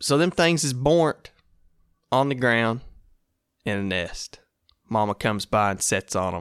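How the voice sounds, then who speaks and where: With an American accent, a man speaks fairly slowly at a medium pitch with lively intonation and long, frequent pauses, in a dry, close sound with no echo on a very clean recording with a silent background. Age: 20s. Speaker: hunting podcast host. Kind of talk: casual solo talk. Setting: solo at home recording. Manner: animated.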